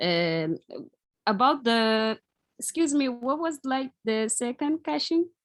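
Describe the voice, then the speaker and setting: A woman with a Portuguese accent speaks at a very slow pace, leaving long, frequent pauses. Her high pitch swings very widely, and the sound is dry and close with no echo. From Mozambique. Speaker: startup founder. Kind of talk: pitch Q&A. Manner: hesitant.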